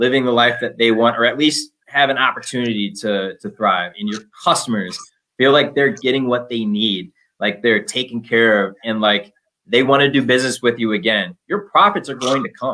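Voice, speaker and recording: A man speaks in an ordinary speaking voice with an American accent, at medium pitch and a moderate pace, with lively intonation. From Minnesota. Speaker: business development manager. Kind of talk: unscripted panel talk.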